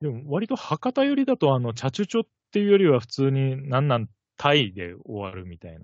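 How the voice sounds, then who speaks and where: A man talks at a very fast pace in a medium pitch, with very wide pitch swings. His loudness swings a great deal. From Kitakyushu, Fukuoka, Japan. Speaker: podcast co-host. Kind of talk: casual chat.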